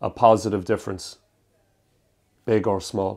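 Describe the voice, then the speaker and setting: In a very clean recording with a silent background, a man with an Irish accent speaks in a fairly low, monotone, flat voice. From Ireland, Cork City. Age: 30s. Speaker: stand-up comedian. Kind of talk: casual documentary talk.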